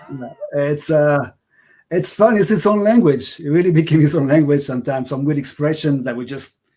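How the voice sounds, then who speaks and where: A man speaks at a fairly quick pace in a dark, mellow, somewhat breathy tone, his pitch fairly high. His pitch varies an ordinary amount while his loudness swings widely. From France, Paris. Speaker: upright bass player. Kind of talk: interview. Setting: livestream.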